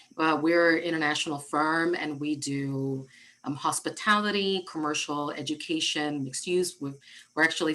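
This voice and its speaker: A woman with a very deep, low pitch and a bright, sharp tone, at a moderate pace with ordinary pitch variation. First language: Spanish. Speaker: architect and diversity director. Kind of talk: interview. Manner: halting, frequent repetitions.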